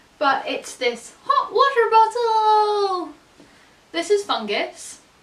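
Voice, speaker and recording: A woman speaks in a Scottish accent. Her tone is upbeat and her intonation lively. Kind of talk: casual talk to camera. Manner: upbeat, chatty.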